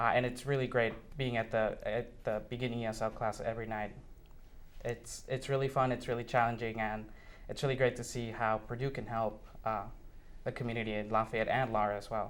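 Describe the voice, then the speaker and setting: In a Spanish accent, a man speaks fairly quickly at a medium pitch with monotone, flat intonation. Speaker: university student. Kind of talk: interview. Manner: hesitant, many fillers.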